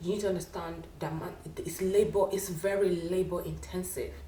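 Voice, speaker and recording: A woman talks with a Nigerian accent. Room echo is audible. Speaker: wig maker, business owner. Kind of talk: casual interview chat.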